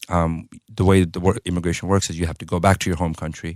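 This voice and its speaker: Recorded very cleanly over a silent background, a man with an American accent speaks fairly quickly in a very deep, low pitch with monotone, flat intonation, the sound dry and close with no echo. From US, New York City. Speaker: pharmacist and entrepreneur. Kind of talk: interview. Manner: casual, filler-heavy.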